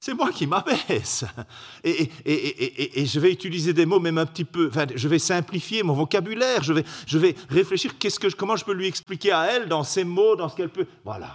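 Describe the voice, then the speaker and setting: A man's high-pitched voice with a Belgian accent, lively intonation and a fairly quick pace, on a very clean recording with a silent background. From Belgium. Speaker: preacher. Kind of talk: sermon. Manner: halting.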